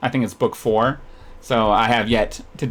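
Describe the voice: This is plain reading aloud. The intonation stays fairly even.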